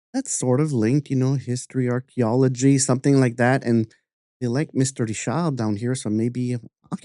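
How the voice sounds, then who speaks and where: The background is quiet as a man speaks in a dark, mellow tone. His pitch varies in an ordinary way, and the sound is dry and close with no echo. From Canada, New Brunswick (French-speaking). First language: French. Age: 50s. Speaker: artist and podcast host. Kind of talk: interview conversation.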